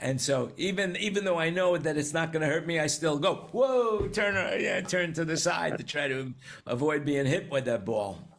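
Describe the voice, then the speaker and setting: Using an American accent, a man speaks at a moderate pace with hardly any pauses and lively intonation. His pitch is fairly high, and there is audible room echo. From New York. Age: 70s. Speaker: talk show host. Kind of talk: casual panel discussion. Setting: video call.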